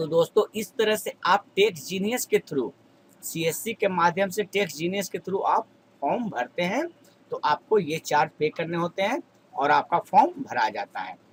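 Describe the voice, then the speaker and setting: A man with a high-pitched voice is heard in a dry, close sound with no echo. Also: lively intonation. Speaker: YouTube tutorial creator. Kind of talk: tutorial.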